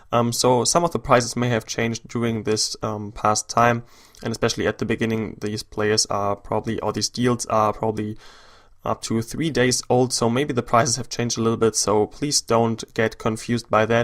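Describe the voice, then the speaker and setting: Man with a German accent, medium pitch, monotone flat intonation and a moderate pace, in a very clean recording with a silent background. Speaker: gaming YouTuber. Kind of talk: gameplay commentary. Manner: hesitant, many fillers.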